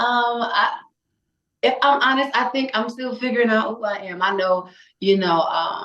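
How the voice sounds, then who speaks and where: A woman speaks at a moderate pace in a fairly high voice with a Louisiana accent. Her tone is bright and sharp, with ordinary pitch variation. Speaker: singer. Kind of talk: casual chat.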